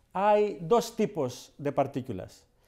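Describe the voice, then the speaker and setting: A man with a Greek accent, high-pitched for a man yet dark and mellow in tone, very slow, with lively intonation over a quiet background. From Greece. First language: Greek (speaking Spanish). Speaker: cardiologist. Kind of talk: educational interview; interview answer. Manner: halting. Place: studio. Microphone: lapel.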